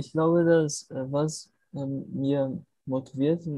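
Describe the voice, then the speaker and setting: Very slow in pace, a man speaks in a dark, mellow tone with fairly even intonation. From Brazil, Natal. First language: Portuguese (speaking German). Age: 20s. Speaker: film student, language learner. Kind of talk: language practice conversation. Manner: halting.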